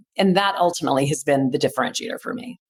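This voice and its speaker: A woman talks in a normal speaking voice at a fairly low pitch. Her intonation is lively. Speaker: charity auctioneer. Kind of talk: interview answer.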